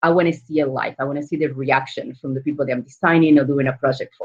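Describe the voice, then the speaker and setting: A very fast pace in an Argentine accent. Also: woman. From Argentina. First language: Spanish. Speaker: entrepreneur. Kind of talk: panel interview.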